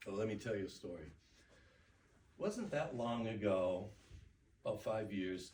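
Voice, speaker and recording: A man with a fairly low, somewhat breathy voice speaks with long, frequent pauses. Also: ordinary pitch variation, moderate pace. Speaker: public speaker. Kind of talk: speech contest address. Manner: reflective.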